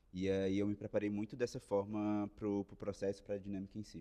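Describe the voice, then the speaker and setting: A man with a Ceará accent, a fairly low pitch and a dark, mellow tone, at a fairly quick pace. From Ceará, Brazil. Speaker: management trainee. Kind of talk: casual interview chat.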